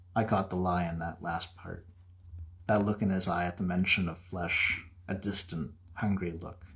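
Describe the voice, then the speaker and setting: Moderately paced, a man talks at a very deep, low pitch. His intonation is monotone and flat, and he sounds somewhat breathy. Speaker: horror author. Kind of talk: horror story reading.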